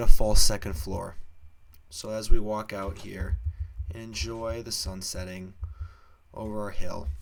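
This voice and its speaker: Amid audible room echo, a man with a fairly low pitch talks at a fairly slow pace with fairly even intonation, big swings in loudness, and long, frequent pauses. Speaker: gaming youtuber. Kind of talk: let's play commentary.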